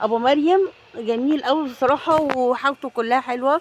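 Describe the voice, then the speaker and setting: There is noticeable background noise. A woman with a high pitch talks at a very slow pace. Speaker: shopping vlogger. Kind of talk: casual vlog. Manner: animated.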